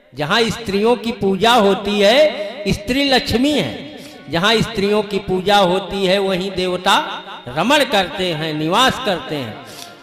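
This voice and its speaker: Music plays in the background as a man speaks at a high pitch with lively intonation. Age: 60s. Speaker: kathavachak (religious storyteller/preacher). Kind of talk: religious discourse (katha).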